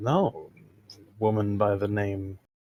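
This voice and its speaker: Put-on character voice from a man, pitched fairly low. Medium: actual play. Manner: measured, probing.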